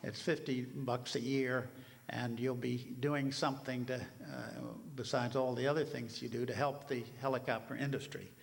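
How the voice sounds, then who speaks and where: A man's somewhat breathy voice at a moderate pace, monotone and flat in intonation, with audible room echo. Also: medium pitch for a man. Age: 80s+. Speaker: helicopter museum representative. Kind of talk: conference talk. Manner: halting, many fillers.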